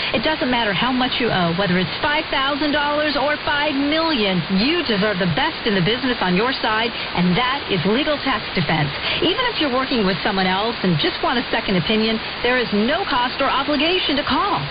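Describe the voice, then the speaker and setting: A woman's high voice swings very widely in pitch as she talks fairly quickly against noticeable background noise. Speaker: commercial announcer. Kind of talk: radio advertisement read.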